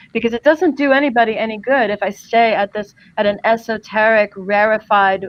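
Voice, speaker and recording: A woman talks in an ordinary speaking voice with an American accent. She speaks fairly quickly, at a fairly high pitch, with ordinary pitch variation. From US East Coast, New Jersey. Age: 50s. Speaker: empowerment coach. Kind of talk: podcast interview.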